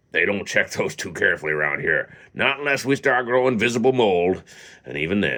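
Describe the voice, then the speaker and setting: Putting on a character voice, a man talks fairly quickly in a raspy, gravelly, wheezy medium-pitched voice with very wide pitch swings. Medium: read story.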